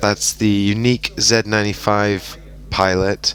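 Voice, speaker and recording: Fairly low-pitched male voice at a fairly slow pace, heard over noticeable background noise. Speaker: game commentator. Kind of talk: voice-over commentary on recorded game.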